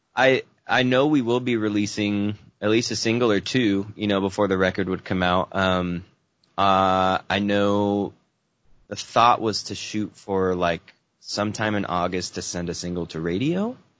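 A man with a normal speaking voice, a fairly low pitch, a moderate pace and ordinary pitch variation. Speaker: musician. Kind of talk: interview. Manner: laughs often.

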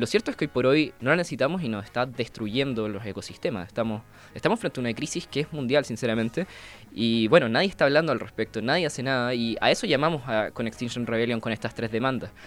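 A man at medium pitch talking at a very fast pace. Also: ordinary pitch variation. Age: 20s. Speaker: climate activist and engineer. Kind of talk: radio interview.

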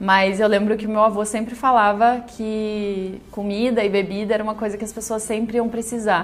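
A woman talks with hardly any pauses and monotone, flat intonation. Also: moderate pace. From Rio Grande do Sul, Brazil. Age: 30s. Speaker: entrepreneur, confectionery owner. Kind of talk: personal testimony.

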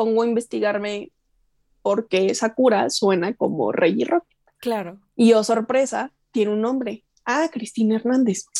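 A woman's fairly high voice, dark and mellow in tone, dry and close with no echo. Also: ordinary pitch variation, fairly slow pace. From Chihuahua, Mexico. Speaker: voice actress. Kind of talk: interview.

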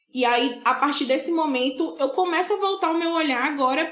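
A woman's high voice at a fairly quick pace with lively intonation, over noticeable background noise. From Bahia, Brazil (Buerarema, southern Bahia). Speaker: social scientist and sociology teacher. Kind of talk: interview conversation.

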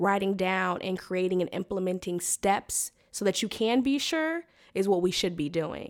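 A woman speaks at a moderate pace in an American accent, her pitch medium with ordinary variation. The recording is very clean, with a silent background. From California (Sacramento), family from Alabama. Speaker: consultant and entrepreneur. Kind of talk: casual interview.

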